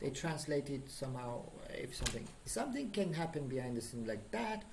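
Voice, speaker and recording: There is audible room echo around a man's somewhat breathy voice, dark and mellow in tone. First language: Persian. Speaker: programming instructor. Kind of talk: lecture. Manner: halting, many fillers.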